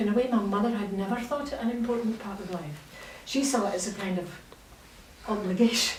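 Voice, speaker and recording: A woman's fairly high, fairly quick voice in a Scottish accent, with audible room echo and noticeable background noise. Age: 60s. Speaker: novelist. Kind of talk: literary festival conversation. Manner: animated.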